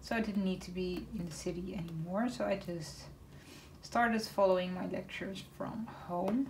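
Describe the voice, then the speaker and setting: Speaking fairly slowly with a Dutch accent, a woman is heard over noticeable background noise and audible room echo. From northern Netherlands, Groningen. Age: 20s. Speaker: craft YouTuber. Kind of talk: casual chat. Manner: hesitant, many fillers.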